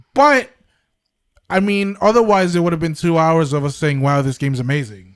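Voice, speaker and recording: Pitched fairly high, a man speaks with lively intonation at a moderate pace. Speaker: gaming podcast host. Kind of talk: casual chat.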